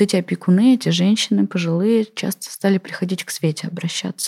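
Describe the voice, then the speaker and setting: Her voice somewhat breathy and dark, mellow in tone, a woman talks at medium pitch and a fairly quick pace with fairly even intonation, the sound dry and close with no echo. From Russia, Tatarstan (Kazan area). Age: 40s. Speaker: infectious disease doctor. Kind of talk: interview monologue.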